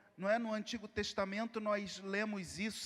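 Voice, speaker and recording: With a Carioca accent, a man talks in a high voice. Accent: Carioca (Rio de Janeiro). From Rio de Janeiro, Brazil. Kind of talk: sermon. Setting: congress hall, also livestreamed.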